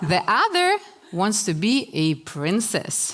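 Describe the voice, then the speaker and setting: With noticeable background noise behind her, a woman's voice makes very wide pitch swings. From Russia (Chelyabinsk, former Soviet Union). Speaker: author. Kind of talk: talk to an audience.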